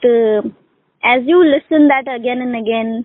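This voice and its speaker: Speaking with a Pakistani accent, a woman uses a high pitch, lively intonation and a fairly slow pace. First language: Urdu. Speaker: English conversation tutor. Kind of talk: casual conversation practice. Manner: hesitant, many fillers.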